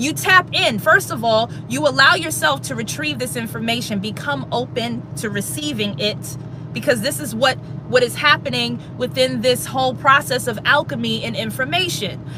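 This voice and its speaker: The speaker uses an animated tone at a moderate pace, with noticeable background noise behind them. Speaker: spiritual livestreamer. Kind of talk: livestream monologue. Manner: loud.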